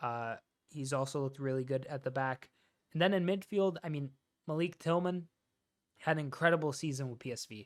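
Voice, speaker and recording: A man speaks at a fairly quick pace with an American accent, his pitch fairly high and varying in an ordinary way. He takes long, frequent pauses, and the recording is very clean with a silent background. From United States. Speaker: football commentator YouTuber. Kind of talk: casual solo commentary. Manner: casual, many fillers.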